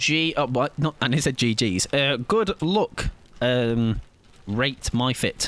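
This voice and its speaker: Spoken very slowly with an English Midlands accent, the voice has lively intonation and very even loudness. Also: man. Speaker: video game streamer. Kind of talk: live gaming stream chat. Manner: animated.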